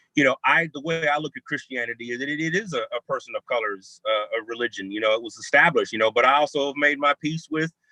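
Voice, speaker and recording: A man talks loudly and very fast with hardly any pauses, his bright, sharp tone showing ordinary pitch variation in a dry, close sound with no echo. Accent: American. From California. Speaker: theologian and hip hop scholar. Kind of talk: panel discussion over video call. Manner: animated. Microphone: bad internet connection.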